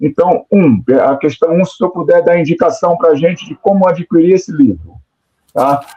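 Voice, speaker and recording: A man at a high pitch and a moderate pace, with ordinary pitch variation. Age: 60s. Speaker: professor, research group member. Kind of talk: audience question in online talk. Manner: halting, with many repetitions; formal and deferential.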